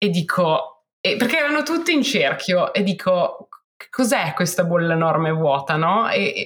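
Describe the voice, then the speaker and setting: Somewhat breathy, a woman's medium-pitched voice moves through very wide pitch swings. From Milan, northern Italy. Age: 30s. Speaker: founder of a women's outdoor sports community. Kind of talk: podcast interview. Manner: hesitant, with many repetitions.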